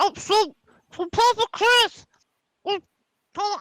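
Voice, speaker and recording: In a squeaky, put-on character voice at an extremely high pitch, a woman talks at a fairly slow pace, the sound dry and close with no echo. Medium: actual play. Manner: bubbly, rambling.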